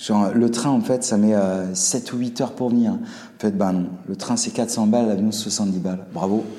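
A man with a fairly low voice speaks at a moderate pace and with fairly even intonation. Audible room echo and noticeable background noise surround him. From Alsace, Colmar. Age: 40s. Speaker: restaurant owner, former engineer. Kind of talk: casual interview chat. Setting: in his restaurant.

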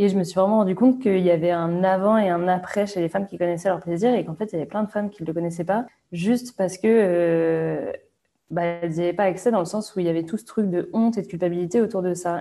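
The tone is dark and mellow. Intonation stays fairly even while the pace is very fast. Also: woman, medium pitch for a woman. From Brittany, France. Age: 20s. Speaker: entrepreneur, brand founder. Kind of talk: interview. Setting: remote call. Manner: hesitant, many fillers.

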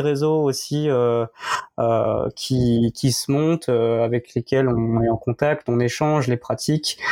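Recorded with a dry, close sound and no echo, a man speaks at a very slow pace in a dark, mellow tone at medium pitch with fairly even intonation. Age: 30s. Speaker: member of a men's contraception collective. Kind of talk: interview. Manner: halting.

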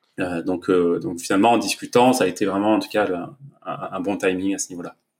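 A man uses a normal speaking voice at a moderate pace, with ordinary pitch variation. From southern France, Var. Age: 30s. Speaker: entrepreneur and new father. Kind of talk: casual interview.

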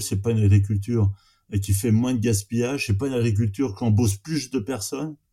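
A man talks very fast in a fairly low, somewhat breathy voice with a dark, mellow tone. His intonation stays fairly even, and the recording is very clean with a silent background. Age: 50s. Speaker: arable farmer. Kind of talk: interview. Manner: halting.

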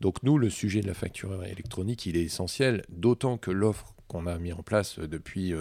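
A man's very deep, low voice with a dark, mellow tone and ordinary pitch variation, at a moderate pace with hardly any pauses, on a very clean recording with a silent background. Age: 40s. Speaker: chartered accountant and entrepreneur. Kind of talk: interview. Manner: hesitant, many fillers.

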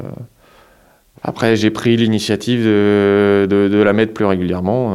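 A man speaks at a very slow pace with a fairly low pitch. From Marne, northeastern France. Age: 30s. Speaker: farmer. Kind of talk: interview testimony. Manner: halting, many hesitations.

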